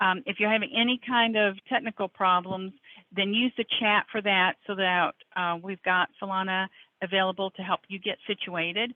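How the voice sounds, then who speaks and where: A woman with a plain, everyday voice, medium in pitch, fairly even intonation, at a moderate pace. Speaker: software trainer. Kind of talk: webinar tutorial.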